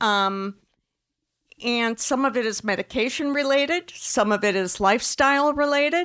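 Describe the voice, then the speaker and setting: A woman talks at a moderate pace with a high pitch and lively intonation. Her loudness is very even, and the recording is very clean with a silent background. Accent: Upper Midwest. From Wisconsin. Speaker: breast cancer oncologist. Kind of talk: panel discussion at live event. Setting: store event with live audience.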